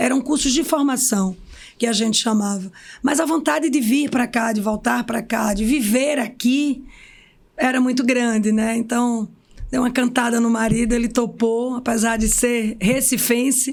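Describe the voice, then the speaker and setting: Speaking at a fairly slow pace, a woman keeps a high pitch, fairly even intonation and very even loudness. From Pernambuco backlands, Brazil (Serra Talhada, Pajeú). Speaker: physiotherapist and clinic owner. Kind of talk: podcast interview.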